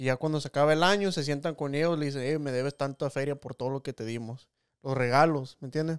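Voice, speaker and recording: On a very clean recording with a silent background and a dry, close sound with no echo, a man speaks at a very fast pace and a fairly high pitch. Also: fairly even intonation. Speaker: podcast host. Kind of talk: casual interview chat. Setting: studio with cameras.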